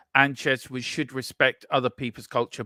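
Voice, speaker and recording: A man with an English accent and medium pitch, bright, sharp tone and moderate pace, in a very clean, dry, close recording with a silent background and no echo. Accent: English-sounding. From Ireland. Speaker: sports watchalong host. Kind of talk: casual chat.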